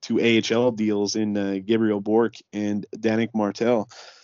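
This is a normal speaking voice. A man talks at medium pitch and a fairly slow pace. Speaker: co-host of hockey podcast. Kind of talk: casual chat.

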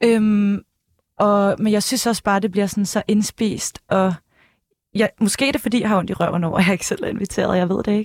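In a dry, close sound with no echo, a woman with an unremarkable speaking voice and medium pitch talks at a fairly quick pace with very even loudness. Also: fairly even intonation. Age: 20s. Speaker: former journalist, press officer. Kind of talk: casual chat. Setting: studio.

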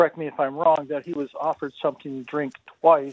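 A woman is speaking. Her pace is moderate. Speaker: caller. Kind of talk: call-in question. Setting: phone call.

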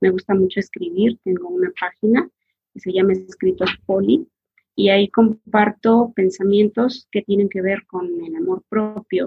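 This is an ordinary speaking voice. It moves at a fairly slow pace with ordinary pitch variation. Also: woman, medium pitch for a woman. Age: 40s. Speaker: massage therapist. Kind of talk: interview, personal life story.

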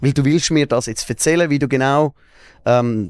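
An unremarkable speaking voice moves at a moderate pace with ordinary pitch variation. The recording is very clean, with a silent background and a dry, close sound with no echo. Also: man. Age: 30s. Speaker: radio and TV presenter. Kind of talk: casual chat.

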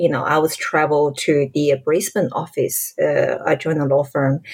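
A woman is speaking. She has a Chinese accent. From China, Shanghai. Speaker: lawyer and ufologist. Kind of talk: casual interview.

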